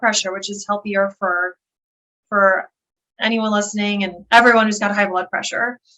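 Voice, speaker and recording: Speaking at a moderate pace with fairly even intonation, a woman with an American accent has a fairly high pitch and a bright, sharp tone. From Buffalo, New York, USA. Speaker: occupational therapist and health coach. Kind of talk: interview answer.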